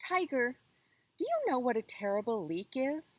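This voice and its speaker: A woman does a put-on character voice, high in pitch, at a moderate pace. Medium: read story.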